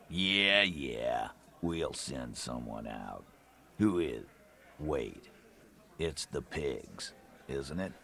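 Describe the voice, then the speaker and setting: Using a put-on character voice, a man growls gruffly at a very deep, low pitch, speaking very slowly with long, frequent pauses. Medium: video game. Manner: gruff, mocking.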